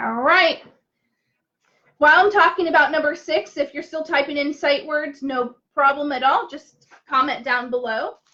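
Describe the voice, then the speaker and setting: A woman uses a raised, projected voice at a high pitch. Her tone is bright and sharp, and her pitch variation is ordinary. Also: moderate pace. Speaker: teacher. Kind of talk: tutorial. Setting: Facebook live stream. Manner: loud; animated.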